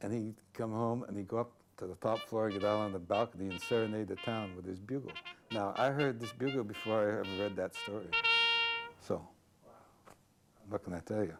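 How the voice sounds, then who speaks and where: Over background music, a man talks at a fairly quick pace with long, frequent pauses, his fairly low voice held to fairly even intonation. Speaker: inn owner interviewee. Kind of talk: interview answer. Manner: casual, hesitant with fillers.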